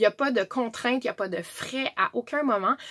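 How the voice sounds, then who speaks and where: A woman in a Quebec accent with ordinary pitch variation, the sound dry and close with no echo. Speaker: direct sales presenter. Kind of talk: tutorial.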